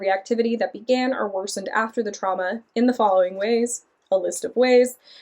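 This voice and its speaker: The speaker is a woman. Her pitch moves only a little, staying fairly even. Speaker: book reviewer. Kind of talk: book discussion monologue. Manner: fast.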